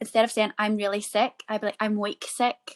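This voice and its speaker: The sound is dry and close with no echo as a woman with a medium pitch speaks in a Northern Irish accent. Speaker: podcast co-host. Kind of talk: casual chat.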